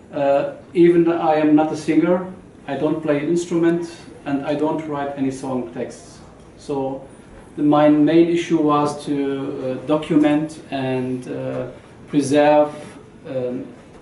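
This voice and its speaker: With audible room echo, a man speaks at a fairly high pitch in a monotone, flat delivery, at a fairly slow pace broken by long, frequent pauses. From Lebanon (born in Syria). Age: 40s. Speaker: music researcher and lecturer. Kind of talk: lecture. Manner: halting, many fillers.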